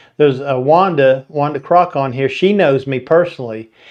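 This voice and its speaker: A man with a Southern US accent and lively intonation. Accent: twangy Southern US. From Florida. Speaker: photography channel host. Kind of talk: live stream talk. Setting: live stream.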